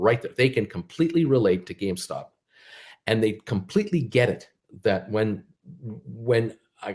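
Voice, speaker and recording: Using lively intonation and long, frequent pauses, a man with an American accent talks at a moderate pace in a somewhat breathy voice of medium pitch. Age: 60s. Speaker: stock market commentator. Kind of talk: casual livestream monologue. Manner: halting, many fillers and repetitions.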